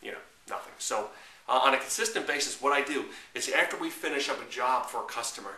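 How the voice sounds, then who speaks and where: There is noticeable background noise as a man speaks. The room echo is audible too. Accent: New York. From New York. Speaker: marketing coach. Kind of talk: tutorial. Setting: to camera. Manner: fast.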